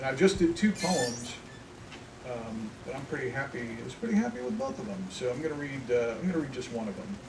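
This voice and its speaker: With an American accent and a medium pitch, a man talks at a fairly quick pace with lively intonation and big swings in loudness over noticeable background noise. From Indiana, US. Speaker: poet. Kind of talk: casual talk to audience. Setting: outdoors.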